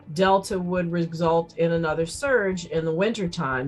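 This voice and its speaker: Background music accompanies the voice. The woman talks at a moderate speed. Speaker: emergency physician. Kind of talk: interview answer.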